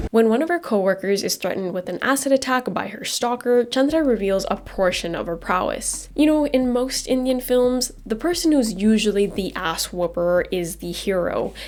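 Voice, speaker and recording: A woman speaks quietly at a moderate pace with lively intonation and hardly any pauses. Noticeable background noise runs underneath. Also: fairly high pitch for a woman. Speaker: movie reviewer. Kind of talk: scripted video review.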